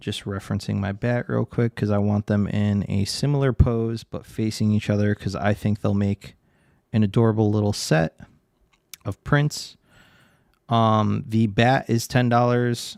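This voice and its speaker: A man talks at a fairly low pitch. The sound is dry and close with no echo, a very clean recording on a silent background. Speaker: digital artist streamer. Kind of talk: casual livestream chat while drawing. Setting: live stream. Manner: fast.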